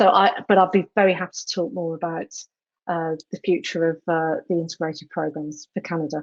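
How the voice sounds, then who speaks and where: In a British accent, a woman with a fairly low pitch talks with fairly even intonation in a dry, close sound that has no echo. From England. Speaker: education program leader. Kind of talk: panel discussion.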